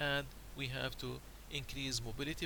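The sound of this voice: A man talks at a fairly quick pace with vocal fry. His pitch moves little.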